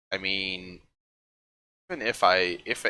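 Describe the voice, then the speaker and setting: A man is speaking. He has a Dutch accent. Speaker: art streamer. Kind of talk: casual livestream chat while painting. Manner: halting, many fillers.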